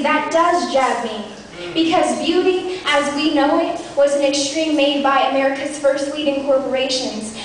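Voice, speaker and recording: Against noticeable background noise, a woman with a high pitch talks at a moderate pace with fairly even intonation. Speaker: slam poet. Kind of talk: slam poetry performance. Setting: live venue.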